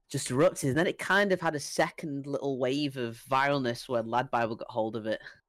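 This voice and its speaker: With a British accent, a man speaks at a fairly quick pace and fairly high pitch, with ordinary pitch variation and hardly any pauses. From England. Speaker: airsoft player and YouTuber. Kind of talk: casual chat. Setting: video call.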